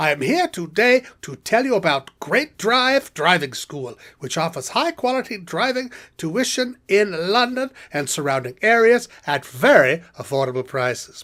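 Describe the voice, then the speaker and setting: In a put-on character voice at middle pitch, the speaker swings very widely up and down in pitch. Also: moderate pace. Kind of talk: TV commercial read.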